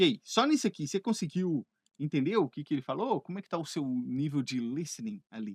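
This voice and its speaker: A man with a normal speaking voice talks at a moderate pace with lively intonation, against a quiet background and a dry, close sound with no echo. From Brazil (Minas Gerais), living in Canada. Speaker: English teacher. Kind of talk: educational video lesson to camera. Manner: conversational, friendly.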